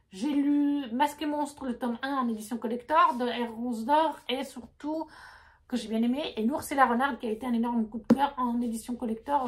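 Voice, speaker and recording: At a moderate pace, a woman with a non-native accent speaks in a high pitch with fairly even intonation. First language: not French (speaking French). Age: 30s. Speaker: book vlogger. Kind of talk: casual chat. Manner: halting.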